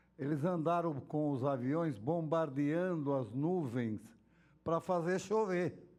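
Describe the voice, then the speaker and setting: Amid audible room echo, a man speaks at a very slow pace in a fairly high pitch with very even loudness. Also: ordinary pitch variation. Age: 70s. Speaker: city councillor. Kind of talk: council hearing remarks. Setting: council chamber.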